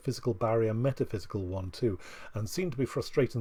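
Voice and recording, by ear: A natural-voiced reading out loud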